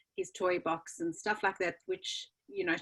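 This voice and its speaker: With a South African accent, a woman talks at a moderate pace using ordinary pitch variation. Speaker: children's book author. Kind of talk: interview.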